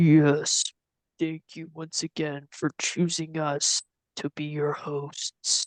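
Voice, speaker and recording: At a very slow pace, the speaker uses a put-on character voice at a middle pitch. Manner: ominous.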